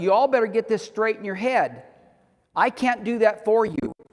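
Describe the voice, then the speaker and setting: This man has a high-pitched voice. He speaks with a Southern US accent. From US South. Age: 60s. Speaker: homesteading teacher. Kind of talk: lecture. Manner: animated.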